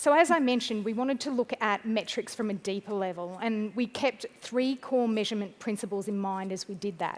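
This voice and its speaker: Fairly high in pitch, a woman with an Australian accent talks at a fairly quick pace with ordinary pitch variation. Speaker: pharmaceutical field medical team lead. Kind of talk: conference presentation. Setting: stage with audience.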